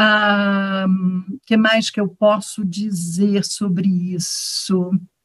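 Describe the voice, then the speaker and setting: A woman speaks at a very slow pace in a somewhat breathy, medium-pitched voice. Her intonation is monotone and flat. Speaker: theatre director. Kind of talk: online panel discussion. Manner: hesitant, many fillers.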